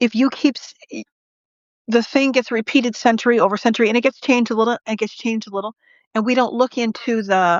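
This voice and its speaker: A woman talks in a normal speaking voice at a fairly high pitch. Her pace is fairly quick and her intonation fairly even. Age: 50s. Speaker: spiritual live-stream host, reverend. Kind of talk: casual chat.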